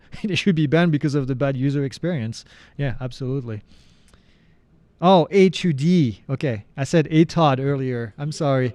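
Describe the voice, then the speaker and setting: In a French accent, a man speaks at a moderate pace with a fairly high pitch, ordinary pitch variation, and a dark, mellow tone. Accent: French accent, often taken for Canadian. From France. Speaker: drone instructor and live Q&A host. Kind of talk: live Q&A answering viewer questions. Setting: livestream. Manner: casual, conversational.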